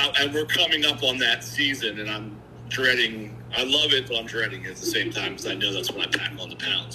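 A man's voice amid noticeable background noise. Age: 40s. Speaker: caller seeking fitness advice. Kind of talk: casual chat. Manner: halting, many fillers and restarts.

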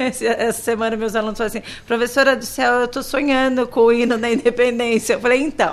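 Noticeable background noise sits behind a woman with a high pitch. She speaks at a fairly quick pace in a monotone, flat intonation. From Brazil, interior of São Paulo state. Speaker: primary school teacher. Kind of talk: radio interview.

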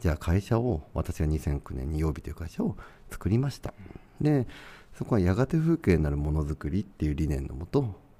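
A man speaks at a very deep, low pitch, with very wide pitch swings. His tone is dark and mellow, and somewhat breathy. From Tochigi, Japan. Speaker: furniture company founder. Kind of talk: casual interview.

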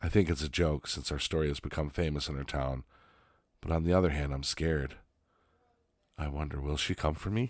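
In a very deep, low voice, a man speaks with a playful tone at a moderate pace, leaving long, frequent pauses, on a very clean recording with a silent background. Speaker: podcast host reading stories. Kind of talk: horror narration, hushed and suspenseful reading aloud of creepy stories. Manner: playful, laughing between stories.

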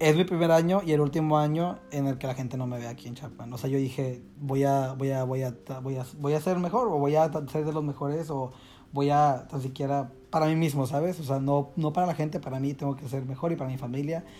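A man's dark, mellow tone at a fairly quick pace, with fairly even intonation. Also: fairly high pitch for a man. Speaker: dancer and choreographer. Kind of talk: casual chat.

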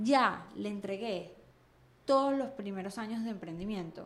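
A woman speaks with a Venezuelan accent over audible room echo. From Venezuela (Caracas). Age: 30s. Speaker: entrepreneur. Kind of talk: casual chat. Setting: studio.

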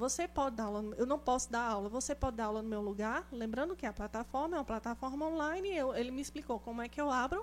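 A woman talks very fast in a high voice, with hardly any pauses. Her tone is animated, with ordinary pitch variation. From Brazil, interior of Pernambuco. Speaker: acupuncture and auriculotherapy teacher. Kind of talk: casual interview chat.

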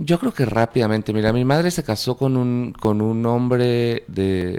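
In a dark, mellow tone, a man with a medium pitch speaks at a fairly slow pace with ordinary pitch variation. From Guatemala, Panajachel. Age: 40s. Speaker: filmmaker. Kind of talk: interview.

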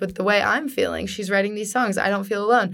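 In a Californian accent, a woman speaks at a fairly high pitch with fairly even intonation. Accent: Californian American. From US West Coast, San Diego, California. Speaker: student singer-songwriter. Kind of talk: casual chat.

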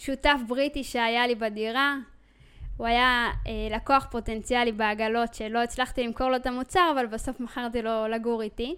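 On a very clean recording with a silent background, a woman speaks in a high pitch with fairly even intonation. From Israel. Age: 20s. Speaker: podcast host, entrepreneur. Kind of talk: personal storytelling monologue.

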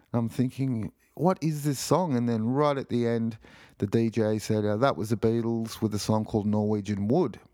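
With an Australian accent, a man speaks at medium pitch and a moderate pace, his tone dark and mellow with ordinary pitch variation, on a very clean recording with a silent background. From Australia (Sydney). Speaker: podcast host. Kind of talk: casual solo podcast monologue. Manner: hesitant, many fillers.

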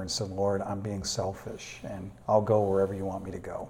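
A man with an American accent talks fairly quickly at a fairly low pitch, his tone dark and mellow, with audible room echo. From US New England, Manchester, New Hampshire. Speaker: pastor. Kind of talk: interview. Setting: church classroom.

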